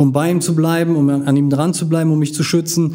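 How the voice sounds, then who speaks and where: Noticeable background noise behind a man at a moderate pace, fairly high in pitch and fairly even in intonation. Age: 40s. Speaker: social worker and martial arts teacher. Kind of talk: casual interview.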